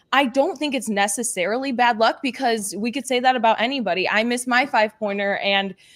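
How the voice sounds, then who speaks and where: A woman talks in an energetic, high-pitched voice with ordinary pitch variation. Her pace is very fast, with hardly any pauses. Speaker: panelist. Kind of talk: casual chat.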